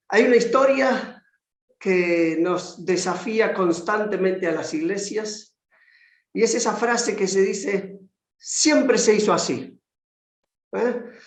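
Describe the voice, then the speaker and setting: A man's high-pitched voice at a very slow pace, with long, frequent pauses and audible room echo. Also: ordinary pitch variation. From Argentina, Buenos Aires. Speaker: conference speaker on discipleship. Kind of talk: lecture.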